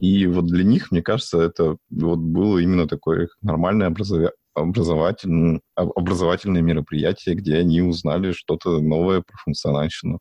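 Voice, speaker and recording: Speaking at a moderate pace, a man with a very deep, low pitch keeps his intonation fairly even. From Yekaterinburg, Russia. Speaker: podcast co-host, programmer. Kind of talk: casual chat, tech discussion.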